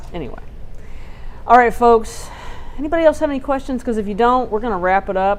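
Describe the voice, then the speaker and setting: A woman speaks with a Texas accent. Her intonation is lively. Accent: Texas twang. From Texas Gulf Coast. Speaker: TV news reporter. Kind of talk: live stream Q&A discussion. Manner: casual, conversational.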